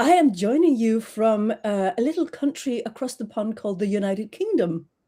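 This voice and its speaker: Recorded very cleanly over a silent background, a woman speaks at a moderate pace with a dark, mellow tone, fairly high pitch and lively intonation. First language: Danish. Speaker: trademark consultant. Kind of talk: interview. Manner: halting, many fillers.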